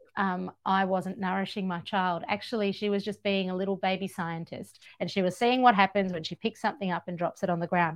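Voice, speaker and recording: An Australian accent at a fairly quick pace, over a quiet background. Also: woman. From Georgia, former Soviet Union, raised in Australia. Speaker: author and radio broadcaster. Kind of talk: casual chat. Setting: podcast recording, in person.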